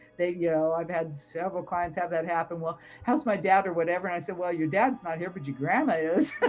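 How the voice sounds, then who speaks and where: Talking at a very fast pace with hardly any pauses, the speaker has an American accent and ordinary pitch variation over noticeable background noise. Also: woman, fairly low pitch for a woman. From US West Coast, Southern California. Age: 70s. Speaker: tarot reader and psychic. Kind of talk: casual interview conversation.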